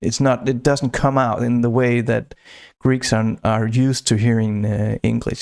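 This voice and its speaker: In a Northern European accent, a man speaks at a fairly slow pace with monotone, flat intonation on a very clean recording with a silent background. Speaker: podcaster. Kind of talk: casual storytelling monologue. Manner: hesitant, many fillers and restarts.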